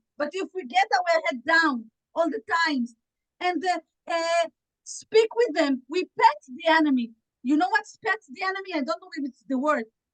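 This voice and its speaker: A woman with an Israeli accent speaks at an extremely high pitch and a moderate pace. Her loudness swings a lot, and the sound is dry and close with no echo. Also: very wide pitch swings. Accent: Israeli Hebrew. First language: Hebrew. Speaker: activist panelist. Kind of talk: panel speech. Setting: video call. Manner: halting; impassioned.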